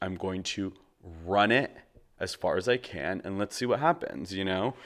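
This is a normal speaking voice at a fairly slow pace. The recording is very clean, with a silent background. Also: man. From Canada. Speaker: podcast host. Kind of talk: solo personal monologue; guided relaxation.

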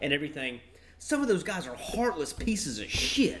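With an ordinary speaking voice, a man talks at a moderate pace using lively intonation. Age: 30s. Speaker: stand-up comedian. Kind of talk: casual chat. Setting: outdoor porch, live-streamed.

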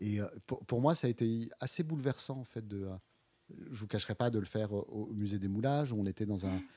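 Talking at a fairly quick pace, a man has a fairly low pitch with ordinary pitch variation. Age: 50s. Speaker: visual artist and curator. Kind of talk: interview. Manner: halting, many repetitions and fillers.

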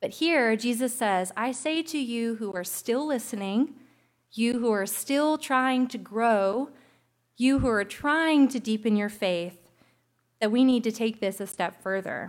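A woman with a plain, everyday voice, fairly high in pitch with ordinary pitch variation, speaks at a fairly slow pace in a very clean recording with a silent background. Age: 20s. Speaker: pastor. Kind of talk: sermon.

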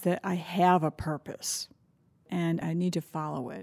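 A woman with a dark, mellow tone speaks at a fairly slow pace on a very clean recording with a silent background. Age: 60s. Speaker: college alumna. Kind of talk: storytelling in recorded interview.

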